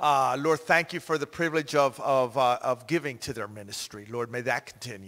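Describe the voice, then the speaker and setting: A man's normal speaking voice at medium pitch, fairly quick with hardly any pauses, ordinary pitch variation and big swings in loudness, over a quiet background. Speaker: pastor. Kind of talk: prayer. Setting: church. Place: church. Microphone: handheld.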